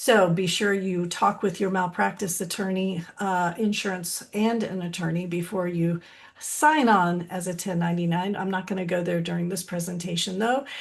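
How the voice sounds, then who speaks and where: In an ordinary speaking voice, a woman talks at a moderate pace with a medium pitch. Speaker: licensed counselor and supervisor trainer. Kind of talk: webinar presentation.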